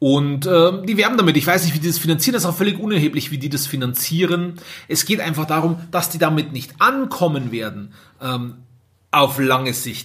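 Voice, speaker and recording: An ordinary speaking voice at a fairly quick pace, with lively intonation. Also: man, fairly high pitch for a man. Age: 30s. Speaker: care home owner, podcaster. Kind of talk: solo podcast monologue. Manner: casual, many filler sounds.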